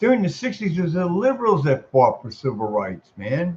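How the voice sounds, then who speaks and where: Speaking at a moderate pace with an American accent, the man has a fairly high pitch and very wide pitch swings. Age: 60s. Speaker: military veteran making a response video. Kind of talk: casual political monologue. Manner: animated; repetitive, halting restarts.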